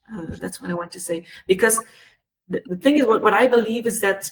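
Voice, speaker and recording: A woman's fairly high voice with a non-native accent and ordinary pitch variation. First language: not English. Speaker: panelist, cultural sector worker. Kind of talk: webinar panel discussion. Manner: halting, many hesitations and repeats.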